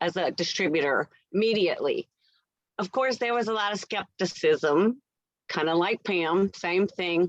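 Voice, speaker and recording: Speaking at a fairly slow pace, a woman with a medium-pitched voice uses a normal speaking voice. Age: 60s. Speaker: nurse. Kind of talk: testimony.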